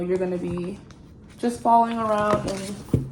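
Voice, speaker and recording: A woman at a medium pitch talks very slowly with fairly even intonation, with audible room echo and noticeable background noise. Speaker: new nurse vlogger. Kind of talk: casual vlog talk.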